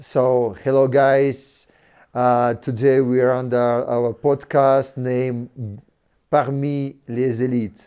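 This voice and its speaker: A man's very slow, monotone delivery in a French accent, with flat intonation and a dark, mellow tone. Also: medium pitch for a man. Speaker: podcast host; former legionnaire, security company manager. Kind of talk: casual interview.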